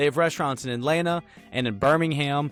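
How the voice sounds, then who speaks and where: A man speaks with a Southern US accent while music plays in the background. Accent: Southern American. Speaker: podcast host. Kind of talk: podcast intro and interview questions.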